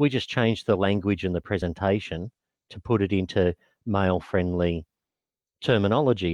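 Against a quiet background, a man with an Australian accent speaks at a moderate pace and fairly low pitch with ordinary pitch variation, the sound dry and close with no echo. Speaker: non-profit executive officer. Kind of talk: interview.

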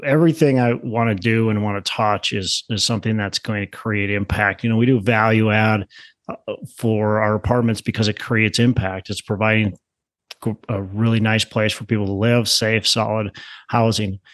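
A man with a normal speaking voice and an American accent talks at a moderate pace and a fairly low pitch. The sound is dry and close with no echo, over a quiet background. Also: fairly even intonation. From Minnesota, Twin Cities. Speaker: real estate investor, former teacher. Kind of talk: podcast interview. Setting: remote call.

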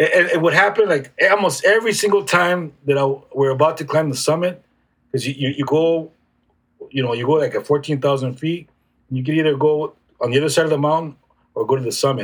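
A fairly high-pitched man with an American accent, somewhat breathy, talking at a fairly quick pace with ordinary pitch variation. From San Diego, California. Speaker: youth mentor and coach. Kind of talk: casual interview conversation. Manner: occasionally stutters.

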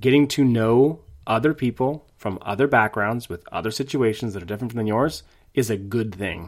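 A man with an ordinary speaking voice talks at a moderate pace in a medium pitch. His pitch varies in an ordinary way, and the recording is very clean with a silent background. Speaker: podcast co-host, parent. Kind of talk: casual chat.

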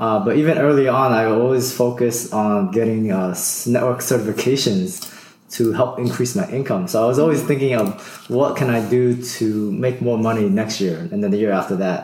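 Amid audible room echo and noticeable background noise, a man talks at a moderate pace and a medium pitch with ordinary pitch variation. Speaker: early retiree, former IT network engineer. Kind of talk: casual interview.

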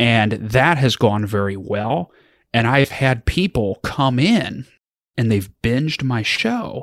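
Here a man talks at a very slow pace in a medium pitch with ordinary pitch variation. The sound is dry and close, with no echo. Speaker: estate planning attorney with a podcast. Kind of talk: casual interview chat.

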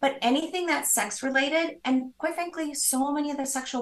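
A woman speaks with an American accent and a high pitch. Her pace is fairly quick. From US Midwest. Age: 50s. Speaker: business founder. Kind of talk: interview.

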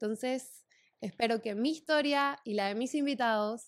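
Her voice sits fairly high, with ordinary pitch variation. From Santa Cruz de la Sierra, Bolivia. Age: 20s. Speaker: podcast host. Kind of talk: personal storytelling monologue.

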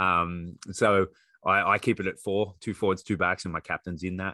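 A man with an Australian accent speaks in a very deep, low voice with a bright, sharp tone and flat, monotone intonation over a quiet background. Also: dry, close sound with no echo. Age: 40s. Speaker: rugby coach and PE teacher. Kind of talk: casual discussion.

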